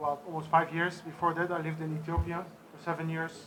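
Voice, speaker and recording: A man talks at a very fast pace with a fairly high pitch. Audible room echo and noticeable background noise surround him. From Netherlands. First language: sign language. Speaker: deaf charity organizer. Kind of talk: press conference speech.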